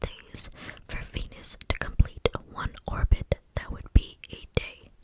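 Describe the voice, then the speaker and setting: At a fairly slow pace, the woman whispers amid noticeable background noise. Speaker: ASMR content creator. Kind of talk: whispered ASMR fact reading. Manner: whispered, close-mic, soft.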